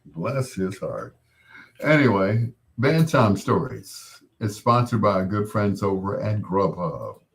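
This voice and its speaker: A man with a fairly low pitch speaks at a very slow pace, somewhat breathy. Long, frequent pauses break his speech, and his pitch varies in an ordinary way. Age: 60s. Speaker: radio host. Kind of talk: late-night radio show with live chat. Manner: casual, conversational.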